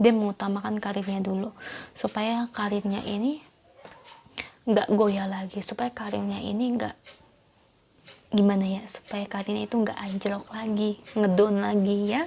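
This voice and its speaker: Soft-spoken woman at a moderate pace, with noticeable background noise. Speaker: tarot reader. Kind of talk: tarot reading for viewers.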